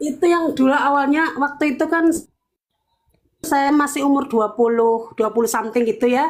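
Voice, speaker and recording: A woman speaks at a moderate pace with a high pitch and ordinary pitch variation. Her loudness stays very even. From Cilacap, Central Java, Indonesia. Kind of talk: testimony. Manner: halting.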